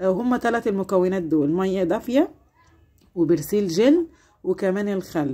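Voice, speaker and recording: A woman speaks at a fairly slow pace in a dark, mellow tone. Her pitch swings very widely. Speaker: home cleaning vlogger. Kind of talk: tutorial. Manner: warm, chatty.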